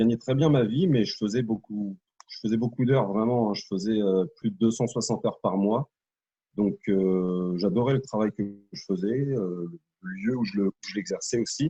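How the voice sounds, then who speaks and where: Recorded with a dry, close sound and no echo, a man speaks at a moderate pace in a medium pitch with a dark, mellow tone and ordinary pitch variation. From Normandy, France. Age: 30s. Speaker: network marketer, former soldier. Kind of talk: interview. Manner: hesitant, many fillers.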